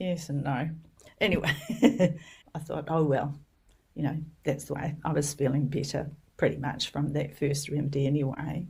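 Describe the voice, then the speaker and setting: A woman speaks at a moderate pace in a very deep, low voice, somewhat breathy, with fairly even intonation and long, frequent pauses. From New Zealand. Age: old. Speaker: homeopath and educator. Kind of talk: interview storytelling.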